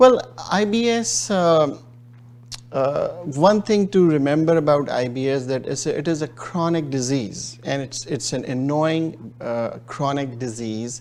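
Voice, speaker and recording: In a Pakistani accent, a man speaks with a fairly high pitch. His pace is fairly slow and his intonation lively. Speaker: gastroenterologist. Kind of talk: interview. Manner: hesitant, many fillers.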